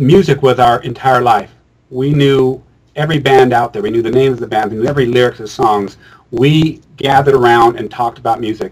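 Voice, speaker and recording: A man at medium pitch speaks with fairly even intonation and a fairly quick pace. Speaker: musician and filmmaker. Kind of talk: interview conversation. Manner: loud.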